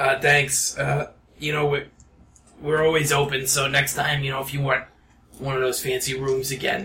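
A man puts on a character voice at medium pitch, speaking in a flat monotone broken by long, frequent pauses. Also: moderate pace. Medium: actual play. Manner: flat, deadpan, barely moving lips.

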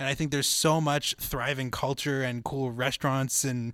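Here a man with a Canadian accent talks at a fairly quick pace in a fairly high pitch. He has an unremarkable speaking voice, on a very clean recording with a silent background. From Winnipeg, Canada. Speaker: student podcast co-host and board operator. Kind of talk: casual chat. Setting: studio.

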